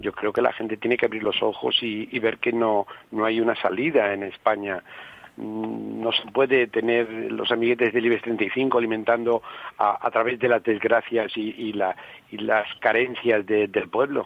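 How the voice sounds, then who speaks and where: Against noticeable background noise, a man talks at a medium pitch in a flat monotone. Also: moderate pace. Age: 60s. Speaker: regional parliament member. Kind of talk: radio interview.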